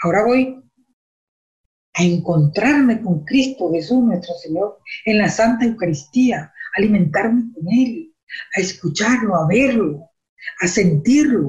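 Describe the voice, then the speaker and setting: A somewhat breathy woman at medium pitch, with lively intonation, a fairly slow pace and long, frequent pauses. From Venezuela. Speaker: church lay teacher. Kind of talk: religious teaching.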